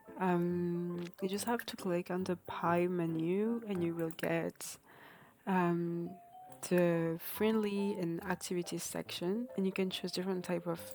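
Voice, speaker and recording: Someone speaks at a fairly slow pace with a non-native accent. Music plays in the background. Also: woman, fairly low pitch for a woman, fairly even intonation. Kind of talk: casual game mod tutorial narration.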